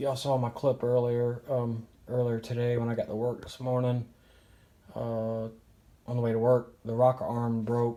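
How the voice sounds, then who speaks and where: Soft-spoken and flat in intonation, a man with a medium pitch and a dark, mellow tone talks at a moderate pace. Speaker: car hobbyist vlogger. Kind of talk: casual DIY garage vlog. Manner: soft-spoken, keeping quiet; hesitant, many fillers.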